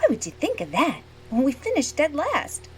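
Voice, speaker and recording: A woman speaks in a put-on character voice, high-pitched and at a fairly quick pace. Background noise is clearly audible. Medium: audio drama.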